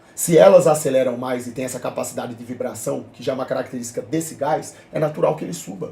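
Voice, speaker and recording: The loudness rises and falls sharply from moment to moment. Words race by at a very fast clip with almost no breaks. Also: man, medium pitch for a man, ordinary pitch variation. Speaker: streamer reacting to videos. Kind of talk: live stream reaction debate. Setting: live stream.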